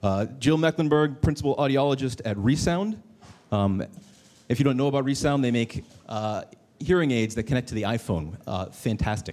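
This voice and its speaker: Lively intonation from a man at a medium pitch. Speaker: panel moderator. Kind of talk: panel discussion. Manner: fast.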